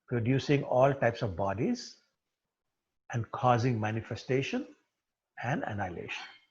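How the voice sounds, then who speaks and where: A man is speaking. His voice is somewhat breathy. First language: not English. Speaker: spiritual teacher. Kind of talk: scripture study class.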